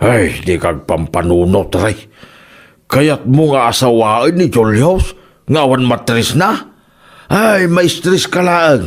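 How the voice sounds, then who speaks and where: A man's put-on character voice at a medium pitch, very wide pitch swings, very even loudness and a very slow pace. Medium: audio drama. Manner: teasing, lazy.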